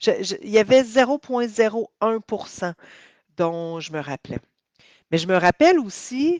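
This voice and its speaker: This woman has a Quebec accent and a fairly high pitch, with very wide pitch swings and big swings in loudness. She leaves long, frequent pauses. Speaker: healing coach. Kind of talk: testimony. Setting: live video stream. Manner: hesitant, many fillers.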